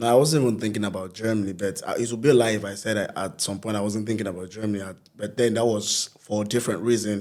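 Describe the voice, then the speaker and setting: A man with a Nigerian accent speaks at a very fast pace, with hardly any pauses. His pitch is fairly low and his intonation fairly even. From Nigeria, Lagos. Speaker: hype man and events promoter. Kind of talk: interview.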